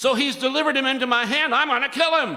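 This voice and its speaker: A man projects his raised voice at an extremely high pitch. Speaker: preacher, pastor. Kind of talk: sermon, preaching to a congregation.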